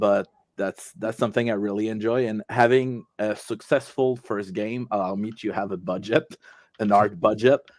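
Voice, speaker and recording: A man with a French Canadian accent, fairly low-pitched, at a moderate pace. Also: ordinary pitch variation, dry, close sound with no echo. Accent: French Canadian accent, noticeable. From Quebec. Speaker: tabletop game designer and award winner. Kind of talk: interview during an online awards show. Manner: halting, many fillers and restarts.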